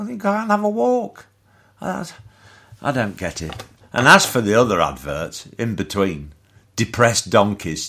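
A man with a British accent speaks at a moderate pace. He takes long, frequent pauses. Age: 60s. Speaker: comedic ranter. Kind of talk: rant. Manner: halting.

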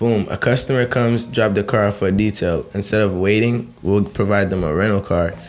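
The speech comes at a fairly quick pace with fairly even intonation and very even loudness. Music plays in the background. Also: man, fairly low pitch for a man. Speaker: car detailing entrepreneur. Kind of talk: casual chat.

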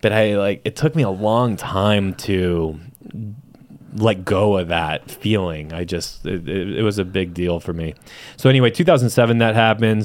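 An ordinary speaking voice, a man with an American accent talks at a fairly low pitch and a moderate pace with ordinary pitch variation. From San Diego, California (South Bay, Chula Vista). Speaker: real estate team owner. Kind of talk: casual interview.

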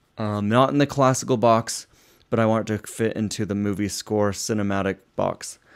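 A man's fairly low voice with an American accent, an ordinary speaking voice at a moderate pace with fairly even intonation. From Utah, US. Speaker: composer and cellist. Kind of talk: solo monologue about his music.

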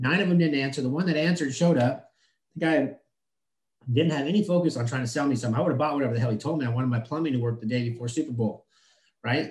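A man speaks very fast in a somewhat breathy voice, with ordinary pitch variation. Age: 30s. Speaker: HVAC business owner. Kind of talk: casual interview.

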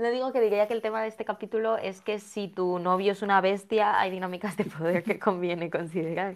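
Using an ordinary speaking voice, a woman talks fairly quickly with hardly any pauses, her medium pitch held in fairly even intonation. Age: 20s. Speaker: podcast co-host. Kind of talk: casual chat about a TV series.

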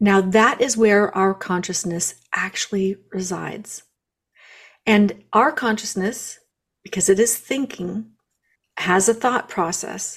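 Speaking at a very slow pace with long, frequent pauses, a woman uses a medium pitch, ordinary pitch variation and a somewhat breathy voice. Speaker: guest, spiritual practitioner. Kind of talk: casual interview.

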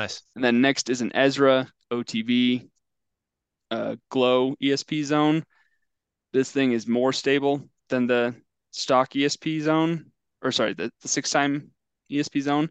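An American-accented man at a medium pitch and a very slow pace, with fairly even intonation and long, frequent pauses, dry and close with no echo over a quiet background. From Oregon. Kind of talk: casual chat.

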